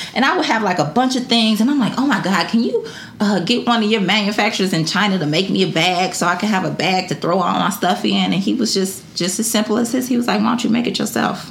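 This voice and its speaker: A woman's voice carries very even loudness. The room echo is audible, with noticeable background noise. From Detroit, Michigan, US. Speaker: entrepreneur and brand founder. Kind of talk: casual interview chat.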